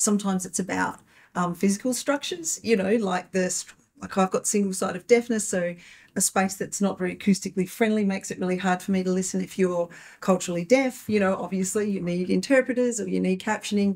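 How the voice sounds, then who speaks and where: Against a quiet background, a woman speaks very fast in a somewhat breathy voice with fairly even intonation. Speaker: panelist, writer; panelist. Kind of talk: panel discussion. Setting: live event with audience. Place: meeting room.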